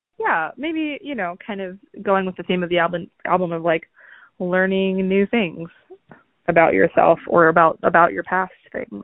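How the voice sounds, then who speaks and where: This woman has an unremarkable speaking voice, medium in pitch with ordinary pitch variation, at a moderate pace. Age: 30s. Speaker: podcast host. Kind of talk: casual chat.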